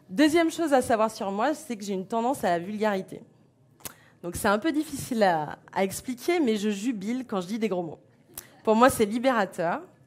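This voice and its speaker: In an ordinary speaking voice, a woman talks at a moderate pace, fairly high-pitched and with lively intonation. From France, Beaujolais. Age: 40s. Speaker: association founder. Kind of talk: conference talk.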